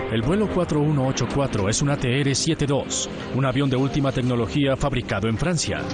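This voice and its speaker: With a Latin American accent and music in the background, a man talks fairly quickly at a medium pitch, his loudness very even and his pitch variation ordinary. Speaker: voice actor. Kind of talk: documentary narration.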